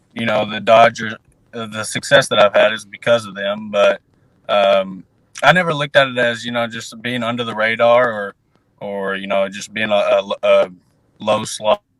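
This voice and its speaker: At a moderate pace, a man with an American accent talks at medium pitch, his intonation fairly even and his loudness swinging widely. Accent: Southern twang, stronger after time at home. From US South (Arkansas). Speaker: professional baseball pitcher prospect. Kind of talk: interview. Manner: halting, many fillers.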